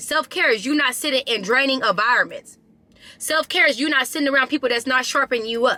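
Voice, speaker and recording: A woman with a high voice talks very fast in a raised, projected, animated tone, her loudness very even and her pitch varying in an ordinary way. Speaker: motivational vlogger. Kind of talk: casual chat.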